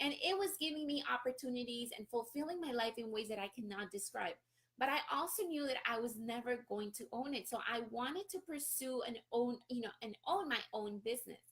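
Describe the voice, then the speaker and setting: Lively intonation runs through a woman's high-pitched voice, bright and sharp in tone. She speaks in a Spanish accent at a moderate pace. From Colombia, Barranquilla. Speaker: real estate investor and business coach. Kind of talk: live-stream talk.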